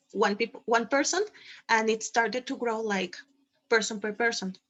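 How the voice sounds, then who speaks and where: A woman is speaking at a moderate pace. Her pitch is fairly high. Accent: Spanish. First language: Spanish. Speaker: quadball team organizer. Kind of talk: panel Q&A. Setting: video call.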